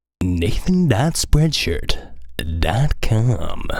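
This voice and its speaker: This is a put-on character voice. Its pitch sits low-to-middle. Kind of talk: broadcast announcer.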